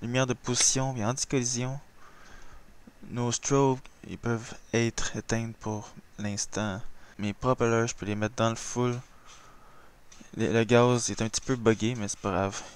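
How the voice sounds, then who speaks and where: In a Quebec accent, the speaker talks at a fairly slow pace with flat, monotone intonation and long, frequent pauses. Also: man, medium pitch for a man. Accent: Québécois French. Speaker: flight simulator gamer. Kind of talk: gameplay tutorial commentary. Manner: casual.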